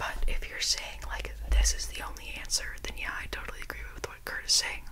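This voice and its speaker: A soft-spoken woman talks against noticeable background noise. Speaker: video creator. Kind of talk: casual soft-spoken commentary on quotes. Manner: soft close-mic ASMR voice. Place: home room. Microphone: studio mic.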